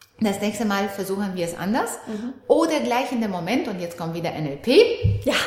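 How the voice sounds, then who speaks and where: Speaking at a fairly slow pace with lively intonation and long, frequent pauses, a woman is heard over noticeable background noise. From Romania. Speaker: NLP trainer and relationship coach. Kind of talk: casual interview chat.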